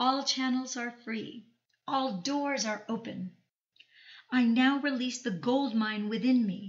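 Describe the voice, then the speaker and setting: A woman with a plain, everyday voice speaks at a fairly slow pace and a fairly high pitch. Her pitch varies in an ordinary way. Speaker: audiobook narrator and channel host. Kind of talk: audiobook reading of a self-help text, affirmations.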